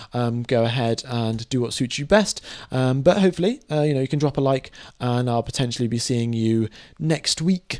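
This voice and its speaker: A man's voice with a dark, mellow tone, medium pitch, ordinary pitch variation and a moderate pace. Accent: British. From UK (born in Mumbai, moved young). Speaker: F1 live stream commentator. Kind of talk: live stream commentary and chat Q&A. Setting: live stream. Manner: casual, many fillers (um, uh).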